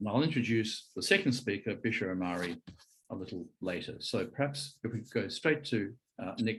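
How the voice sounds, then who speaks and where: A man with an Australian accent speaks at medium pitch and a moderate pace. His voice is somewhat breathy. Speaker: conference chair, physician. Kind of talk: speaker introduction.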